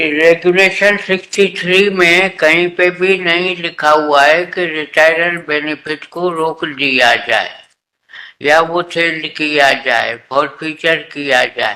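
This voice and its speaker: High-pitched male voice with a bright, sharp tone and fairly even intonation. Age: 80s+. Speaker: retired employee arguing own case in court. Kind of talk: court hearing argument.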